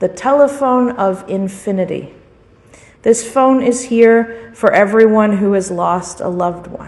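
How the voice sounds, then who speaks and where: Over noticeable background noise, a woman speaks at a fairly slow pace. Her pitch is fairly high, with ordinary variation. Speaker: priest preaching a sermon. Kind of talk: sermon.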